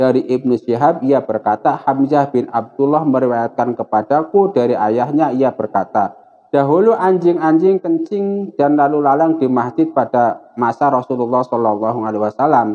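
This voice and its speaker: Using a dark, mellow tone, a man speaks at a moderate pace with lively intonation, very even loudness and hardly any pauses. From Indonesia. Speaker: Islamic religious teacher. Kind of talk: religious lecture. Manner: casual. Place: home room. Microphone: lapel.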